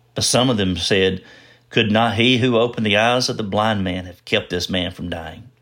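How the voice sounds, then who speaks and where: A man's fairly low voice, a normal speaking voice, at a moderate pace with ordinary pitch variation, on a very clean recording with a silent background. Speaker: scripture reader. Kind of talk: scripture reading. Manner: measured, formal.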